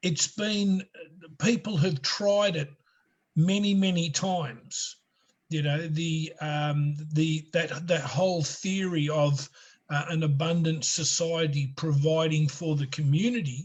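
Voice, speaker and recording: A man with a fairly high-pitched voice and ordinary pitch variation. He speaks at a very slow pace. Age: 60s. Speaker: financial law consultant. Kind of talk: interview. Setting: video call. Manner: halting.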